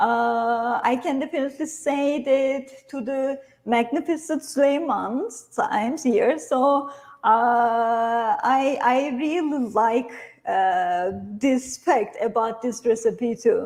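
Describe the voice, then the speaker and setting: The talk comes in a Turkish accent at a very slow pace. Intonation stays lively throughout. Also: woman, high pitch for a woman. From Turkey. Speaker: cooking instructor. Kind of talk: cooking tutorial. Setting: online livestream from a kitchen.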